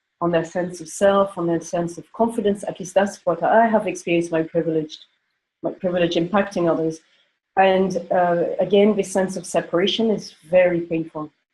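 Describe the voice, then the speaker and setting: A somewhat breathy woman speaks at a moderate pace in a medium pitch, her intonation monotone and flat and her loudness swinging widely. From France, grew up in Africa. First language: not English. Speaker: panelist. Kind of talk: panel discussion. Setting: conference call. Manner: halting.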